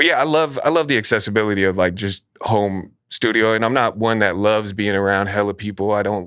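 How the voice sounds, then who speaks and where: In an American accent, a man with a fairly low pitch speaks at a fairly quick pace with hardly any pauses, ordinary pitch variation and very even loudness over a quiet background. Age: 30s. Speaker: rapper. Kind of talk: casual interview.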